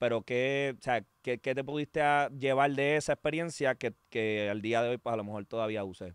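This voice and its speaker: At a moderate pace and medium pitch, a man talks with ordinary pitch variation, the sound dry with no echo and the background quiet. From Puerto Rico. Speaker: podcast host, former baseball player; podcast host. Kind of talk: casual chat. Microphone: studio mic.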